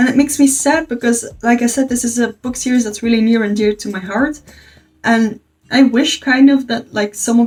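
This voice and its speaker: Her high voice carries a Dutch accent, and this woman keeps her intonation fairly even. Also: moderate pace. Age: 20s. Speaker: book youtuber. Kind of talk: casual review monologue.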